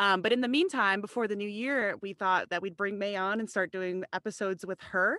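A woman with an American accent, medium pitch, bright, sharp tone, ordinary pitch variation and fairly quick pace, in a very clean recording with a silent background and a dry, close sound with no echo. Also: hardly any pauses. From US Midwest, Chicago area. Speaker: podcast co-host, medtech program staff. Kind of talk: casual chat.

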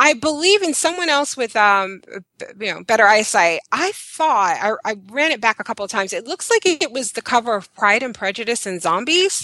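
Against a quiet background, a woman with an American accent speaks at a moderate pace with hardly any pauses, her fairly high, bright, sharp voice making very wide pitch swings. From Brooklyn, New York. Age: 30s. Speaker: website blogger and reviewer. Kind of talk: casual chat.

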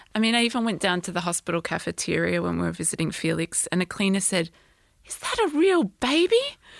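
Against a quiet background, a woman talks at a fairly quick pace with a dry, close sound and no echo. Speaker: bereaved parent and obstetrician. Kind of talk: testimony. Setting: studio.

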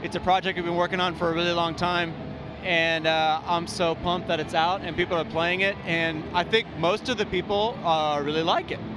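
A man's high-pitched, monotone, flat delivery at a fairly quick pace, with noticeable background noise. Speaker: music gear company representative. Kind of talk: trade show interview. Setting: trade show floor.

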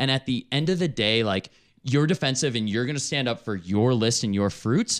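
This man has an unremarkable speaking voice, medium in pitch, with lively intonation at a moderate pace. The sound is dry and close, with no echo. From Chicago, US Midwest. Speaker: travel entrepreneur. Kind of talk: casual chat.

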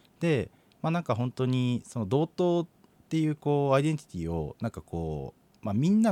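A man speaks very fast in a dark, mellow tone with very wide pitch swings. The sound is dry and close with no echo, on a very clean recording with a silent background. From Hokkaido, Kitami. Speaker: nonprofit director. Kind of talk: interview. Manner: hesitant, many fillers.

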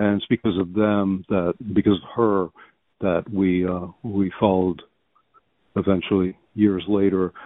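A man speaks at a fairly low pitch and a moderate pace in a normal speaking voice. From Belgium, raised in US from childhood. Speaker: writer. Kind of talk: interview. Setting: phone call.

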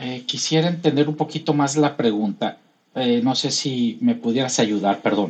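A man with an unremarkable speaking voice of medium pitch talks fairly slowly with ordinary pitch variation. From Los Mochis, Sinaloa, Mexico. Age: 60s. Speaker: airline pilot. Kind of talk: casual interview.

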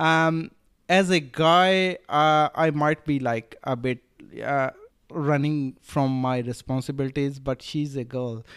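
The intonation is fairly even. The pace is very slow. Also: man, fairly high pitch for a man. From Rajasthan, India. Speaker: drop shipping entrepreneur. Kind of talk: casual interview. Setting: Bali retreat. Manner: halting, with many fillers.

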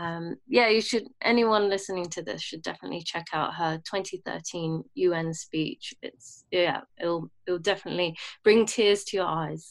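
A woman speaks in a London accent at a fairly low pitch. The recording is very clean, with a silent background. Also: ordinary pitch variation, fairly slow pace. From London and Bahrain. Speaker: jazz musician. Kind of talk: interview.

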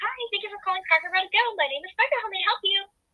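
Using a put-on character voice, a woman speaks at an extremely high pitch. Her pace is very fast. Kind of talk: polite, scripted.

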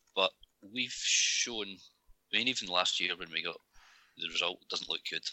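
With a Scottish accent, a man speaks at a moderate pace in a very deep, low pitch, with ordinary pitch variation and long, frequent pauses. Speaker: podcast co-host. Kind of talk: casual chat.

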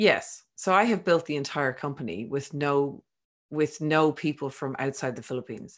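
A woman's very deep, low voice with lively intonation at a moderate pace, against a quiet background. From Ireland. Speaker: business founder, entrepreneur. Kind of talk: podcast interview.

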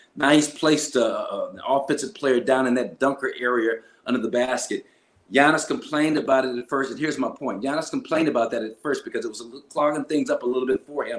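With an American accent, a man has a plain, everyday voice, a fairly high pitch and ordinary pitch variation. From Los Angeles, US West Coast. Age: 60s. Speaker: retired basketball player and TV analyst. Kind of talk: casual interview. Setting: video call.

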